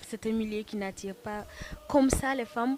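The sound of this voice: This woman's intonation stays fairly even. Her tone is slightly mellow.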